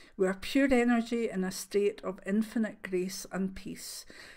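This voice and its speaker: A woman speaks at a moderate pace and a medium pitch, with ordinary pitch variation. The recording is very clean with a silent background. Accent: Scottish. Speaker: clairvoyant. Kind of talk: reading aloud. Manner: soft-spoken; halting.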